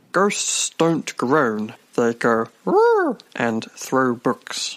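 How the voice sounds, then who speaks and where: A put-on character voice at low-to-middle pitch, delivered at a very slow pace. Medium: audio drama. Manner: confident, lecturing, mispronounces words.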